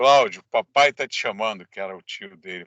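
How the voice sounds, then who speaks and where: A man's bright, sharp tone at a very slow pace, in a dry, close sound with no echo. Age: 60s. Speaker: government adviser. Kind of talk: interview testimony.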